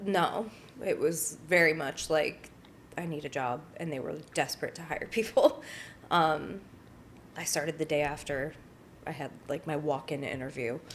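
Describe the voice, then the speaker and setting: With an American accent, a woman speaks in a very deep, low voice at a moderate pace. Her pitch varies in an ordinary way, and she takes long, frequent pauses. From northern Connecticut, US. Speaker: activist and social media creator. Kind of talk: interview conversation. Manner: casual, filler-heavy.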